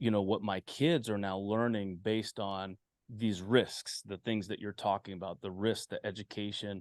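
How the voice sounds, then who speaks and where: Fairly low male voice at a moderate pace with fairly even intonation, dry and close with no echo, over a quiet background. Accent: American. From western US. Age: 40s. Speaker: podcast host. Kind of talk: casual chat. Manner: halting.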